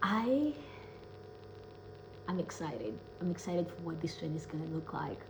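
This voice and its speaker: A woman with a non-native accent speaks in a very deep, low voice with an animated tone. Room echo is audible, and there is noticeable background noise. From Kenya. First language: not English. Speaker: self-love coach and speaker. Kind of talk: casual vlog monologue.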